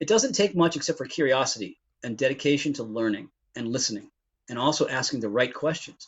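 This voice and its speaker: Lively in intonation, a man speaks at a very fast pace and fairly high pitch. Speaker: IT recruiter. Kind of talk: interview. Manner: animated.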